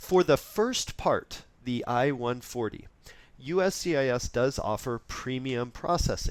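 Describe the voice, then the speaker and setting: Speaking at a fairly slow pace, a man with an unremarkable speaking voice holds a medium pitch with ordinary variation. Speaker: immigration lawyer. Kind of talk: webinar presentation. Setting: online webinar.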